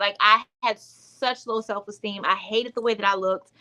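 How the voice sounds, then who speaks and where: Speaking with an American accent, a woman has a fairly high pitch and a bright, sharp tone. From US South. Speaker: womb wellness coach, author. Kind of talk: livestream testimony. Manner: casual, filler-heavy.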